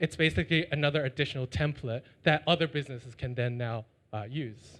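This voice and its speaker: The speaker has a Chinese accent and talks at a very fast pace. The background is quiet. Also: man. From China. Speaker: startup founder. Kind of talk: pitch and Q&A.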